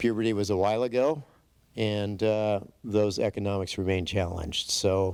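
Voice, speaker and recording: Using an unremarkable speaking voice, a man talks at a moderate pace in a fairly low pitch, with fairly even intonation and very even loudness. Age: 60s. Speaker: borough mayor. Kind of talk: conference presentation.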